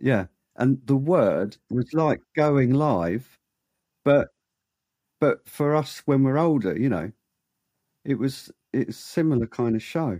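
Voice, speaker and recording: A man with a medium pitch and a dark, mellow tone speaks at a very slow pace with lively intonation, very even loudness, and long, frequent pauses. The sound is dry and close with no echo, in a very clean recording with a silent background. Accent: British. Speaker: podcast co-host. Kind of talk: casual podcast chat.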